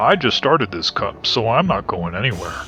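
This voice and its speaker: A man's cartoonish character voice at a medium pitch and fairly quick pace, with clear background noise. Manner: calm, unbothered.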